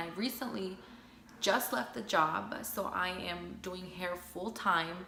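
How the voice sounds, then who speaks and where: Over noticeable background noise and audible room echo, a woman talks at a fairly low pitch with ordinary pitch variation. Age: 20s. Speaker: hairstylist and advice vlogger. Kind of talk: casual advice vlog. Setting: at home. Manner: relaxed, chatty.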